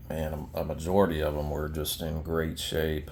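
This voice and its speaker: Audible room echo surrounds a man whose very deep, low pitch carries a dark, mellow tone. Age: 30s. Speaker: collector showing his collection. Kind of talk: casual show-and-tell video. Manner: hesitant, many fillers.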